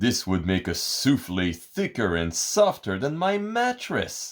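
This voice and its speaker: Using a put-on character voice at medium pitch, a man speaks at a fairly slow pace in a very clean recording with a silent background. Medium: read story.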